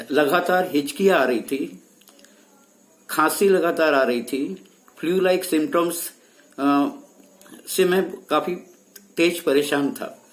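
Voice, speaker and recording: Over music in the background, a man with a high pitch speaks with long, frequent pauses. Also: ordinary pitch variation. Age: 70s. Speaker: patient giving testimonial, senior lecturer. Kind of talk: testimony. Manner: some hesitations.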